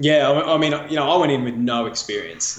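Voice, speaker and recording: Fairly even intonation with audible room echo. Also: man. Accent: Australian. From Australia. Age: 40s. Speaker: running nonprofit CEO. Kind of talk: interview.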